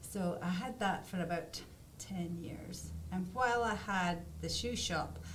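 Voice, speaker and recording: A woman with a Scottish accent speaks at a fairly slow pace. Noticeable background noise and audible room echo fill the recording. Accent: Scottish, still noticeable. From Scotland, Aberdeen. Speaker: artist. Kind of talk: interview. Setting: studio.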